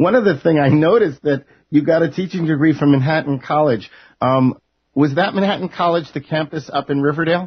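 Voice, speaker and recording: Here a man is talking at a fairly quick pace. His pitch varies in an ordinary way. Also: fairly high pitch for a man. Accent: slight New York. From New York. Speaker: broadcaster, interviewer. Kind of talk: scripted introduction; interview.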